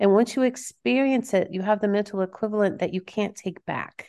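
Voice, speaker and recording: A woman with an American accent uses a normal speaking voice with ordinary pitch variation against a quiet background. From Kansas. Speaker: author and coach. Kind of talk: interview; guided meditation.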